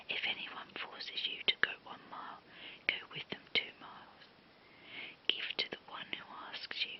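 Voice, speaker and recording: A whisper with noticeable background noise behind it. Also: woman. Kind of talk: ASMR Bible reading. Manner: whispered.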